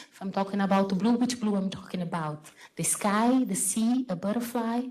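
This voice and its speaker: A woman's medium-pitched voice with a Brazilian accent and ordinary pitch variation, against noticeable background noise. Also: moderate pace. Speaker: photographer and artist. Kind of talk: panel talk. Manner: halting.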